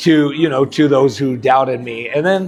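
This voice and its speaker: A man with an American accent speaks at a fairly high pitch and a fairly quick pace, with ordinary pitch variation. Music plays in the background. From Colorado. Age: 40s. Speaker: professional wrestler. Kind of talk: interview answer. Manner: casual, hesitant.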